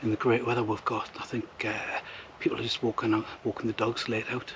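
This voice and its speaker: Fairly quick whispering in a Northumbrian accent, with noticeable background noise. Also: man. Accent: Northumbrian (Geordie-like) English. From northern England, southeast Northumberland. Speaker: outdoor vlogger. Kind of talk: vlog narration. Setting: outdoors in woods. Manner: hesitant, many fillers.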